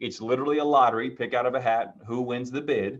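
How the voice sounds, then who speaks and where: Speaking at a fairly quick pace, a man keeps his intonation fairly even. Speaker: real estate agent teaching a class. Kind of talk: online training class. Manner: fast.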